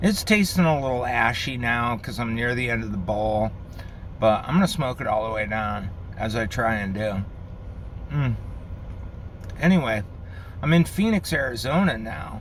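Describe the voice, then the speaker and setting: Amid audible room echo, a man with an American accent talks at a moderate pace in a relaxed tone, with a medium pitch, lively intonation and long, frequent pauses. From Connecticut, Bridgeport (New York City area). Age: 50s. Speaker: pipe smoking vlogger. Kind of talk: casual vlog monologue. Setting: in a car. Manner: relaxed, with fillers and pauses.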